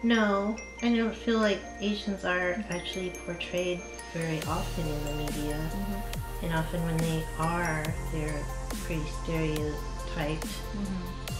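A woman talks at a fairly slow pace while clear music runs underneath. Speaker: interviewee. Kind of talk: interview answer. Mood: thoughtful, calm. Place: home room.

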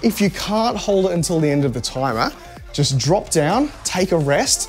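Faint music plays in the background. Over it, a man is speaking. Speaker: fitness coach streamer. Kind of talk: workout instruction. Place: gym. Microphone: lapel.

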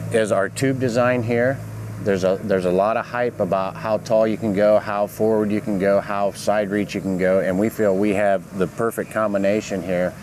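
A man with a normal speaking voice and fairly low pitch talks at a moderate pace with fairly even intonation, the sound dry with no echo and light background noise behind him. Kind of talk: product demonstration. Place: open country.

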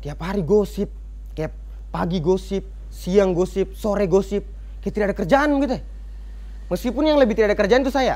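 Speaking at a fairly quick pace, a man leaves long, frequent pauses. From Buton, Southeast Sulawesi; Southeast Sulawesi, Indonesia. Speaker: stand-up comedian. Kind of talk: stand-up comedy set. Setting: stage with live studio audience. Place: cafe. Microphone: handheld.

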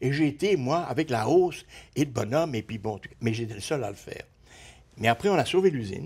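With lively intonation and a somewhat breathy sound, a man talks at a moderate pace. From Belgium (Brussels); Belgium. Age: 70s. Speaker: retired design teacher and visual artist; retired design teacher. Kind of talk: interview. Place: studio. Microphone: lapel.

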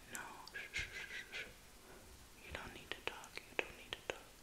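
A woman whispering. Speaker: ASMR creator. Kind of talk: ASMR comforting personal attention role play. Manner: whispered; soft-spoken, soothing. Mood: soothing, tender. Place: home room. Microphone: phone near.

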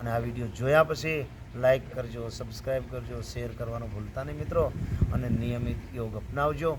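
Audible room echo and noticeable background noise accompany this man as he talks. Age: 50s. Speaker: yoga teacher and schoolteacher. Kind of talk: health tutorial video.

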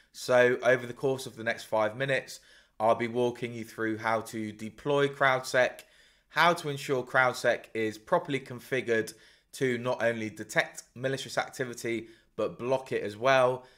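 At a moderate pace, a man speaks with fairly even intonation over a quiet background. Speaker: presenter. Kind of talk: tutorial.

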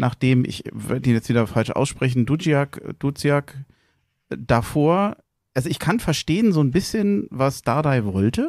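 A man speaks at a fairly slow pace in an ordinary speaking voice with medium pitch. The sound is dry and close with no echo, on a very clean recording with a silent background. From Berlin (Tempelhof). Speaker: podcast host. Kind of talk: casual chat.

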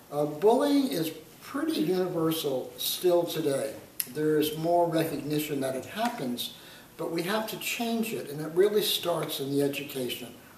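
Light background noise and audible room echo surround a man who keeps a moderate pace. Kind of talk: interview answer. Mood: earnest, engaged. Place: home room. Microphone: camera far.

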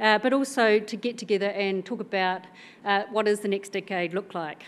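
A woman speaks in a New Zealand accent. Her pace is moderate and her intonation fairly even. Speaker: senior civil servant; keynote speaker. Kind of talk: conference speech. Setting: stage with audience. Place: hall. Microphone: podium.

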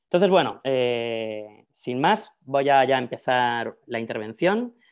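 A man speaks at a fairly slow pace with a Spanish accent and lively intonation. His pitch is medium, and the background is quiet. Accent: Spanish (Spain). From Spain, Madrid. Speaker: professor. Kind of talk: lecture. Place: home room. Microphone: earbuds.

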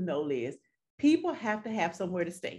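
A woman speaks. Her pace is fairly quick. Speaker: guest. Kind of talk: interview answer. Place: home room. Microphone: video call.

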